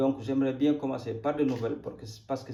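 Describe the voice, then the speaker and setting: A man's somewhat breathy, dark, mellow voice at medium pitch, with a Senegalese accent and fairly even intonation. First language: Wolof (speaking French). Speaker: crypto YouTuber. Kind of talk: casual market commentary. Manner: halting.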